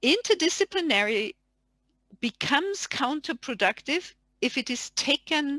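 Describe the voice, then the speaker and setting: A woman's high, raised and projected voice in a German accent, bright and sharp in tone, with very wide pitch swings and a dry, close sound without echo. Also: very clean recording, silent background. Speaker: academic panelist. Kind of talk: panel discussion.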